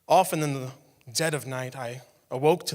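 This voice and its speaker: A man speaks at a moderate pace with ordinary pitch variation in an ordinary speaking voice. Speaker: spoken word poet. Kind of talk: spoken word poetry performance on stage. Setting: live stage in front of an audience.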